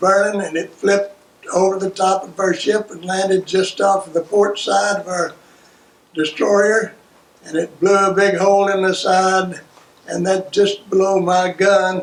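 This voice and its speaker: A man's high-pitched, monotone voice, flat in intonation, at a fairly slow pace over noticeable background noise. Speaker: World War II navy veteran. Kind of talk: oral history interview answer.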